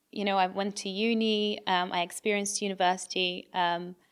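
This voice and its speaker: In a British accent, a woman with a medium pitch speaks at a moderate pace in a monotone, flat intonation on a very clean recording with a silent background. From England (moved from Brazil at eight). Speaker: podcast co-host. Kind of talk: testimony.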